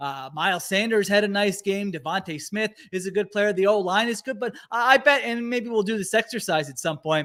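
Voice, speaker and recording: The tone is bright, sharp and energetic, with ordinary pitch variation. Delivery moves at a fairly quick pace with hardly any pauses. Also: man, high pitch for a man. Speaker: sports podcast host. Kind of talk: sports analysis podcast chat. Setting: live-streamed podcast with chat. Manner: fast; energetic, fired up.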